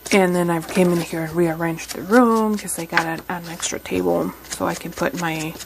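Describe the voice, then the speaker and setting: Soft-spoken and fairly low in pitch, a woman talks at a moderate pace with ordinary pitch variation over noticeable background noise. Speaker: crafting YouTuber. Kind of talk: craft tutorial. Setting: home craft room. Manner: halting.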